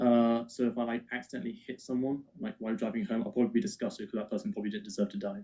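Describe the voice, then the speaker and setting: Speaking very fast with hardly any pauses, a man with an English accent has a medium pitch, a dark, mellow tone and lively intonation. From England. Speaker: atheist debater. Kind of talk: heated debate.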